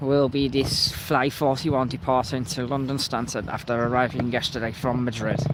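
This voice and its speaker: A man with a Liverpool accent speaks at a moderate pace and medium pitch, his intonation fairly even, with hardly any pauses over noticeable background noise. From Liverpool, England. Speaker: planespotting live streamer. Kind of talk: live commentary.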